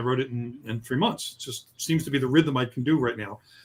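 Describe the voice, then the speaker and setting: A somewhat breathy man at a fairly quick pace. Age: 60s. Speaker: novelist. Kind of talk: interview. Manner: halting.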